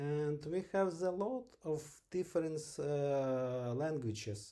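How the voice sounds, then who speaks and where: This man has a fairly high pitch and a slight Ukrainian accent, with a dark, mellow tone. He talks very slowly, his intonation lively. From western Ukraine. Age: 40s. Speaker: English learner. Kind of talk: interview. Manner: halting.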